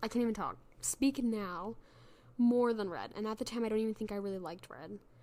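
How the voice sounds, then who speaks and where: A woman speaks very fast in a fairly high pitch with an animated tone. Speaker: podcast host. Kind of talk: casual chat. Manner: halting.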